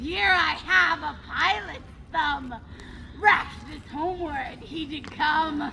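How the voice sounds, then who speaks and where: A female-sounding put-on character voice, high-pitched and very slow, over clear background noise. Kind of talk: Shakespearean stage acting. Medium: stage play.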